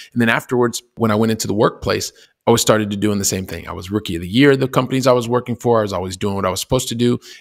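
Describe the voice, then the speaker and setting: Here a man with an American accent speaks at a very fast pace with fairly even intonation, on a very clean recording with a silent background. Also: medium pitch for a man. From US Midwest, Columbus, Ohio. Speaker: real estate investor. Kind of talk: podcast interview.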